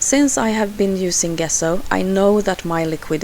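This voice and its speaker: The speaker talks at a fairly slow pace with ordinary pitch variation. There is noticeable background noise. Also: woman. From Sweden. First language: Swedish. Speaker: scrapbooking crafter. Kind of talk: tutorial voiceover. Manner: halting, many fillers.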